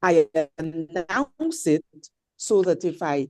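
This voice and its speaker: Against a quiet background, a woman speaks with lively intonation in a dark, mellow tone at a fairly low pitch, with a dry, close sound and no echo. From Guyana. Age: 60s. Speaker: audience participant in discussion. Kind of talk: impassioned comment in online discussion.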